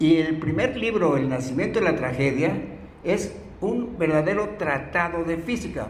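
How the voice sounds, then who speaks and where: A man's high voice moves at a fairly slow pace with lively intonation, set against audible room echo and noticeable background noise. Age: 80s+. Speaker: philosophy lecturer. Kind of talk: lecture. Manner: halting.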